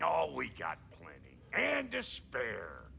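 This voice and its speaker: A raspy, put-on character voice from a man at a very slow pace, over clear background noise. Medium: video game. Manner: gruff, blunt.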